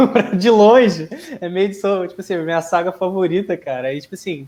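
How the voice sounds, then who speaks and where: This man's voice is high, with normal pitch movement, and he talks at a medium speed. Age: 20s. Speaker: comic fan guest. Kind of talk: casual chat.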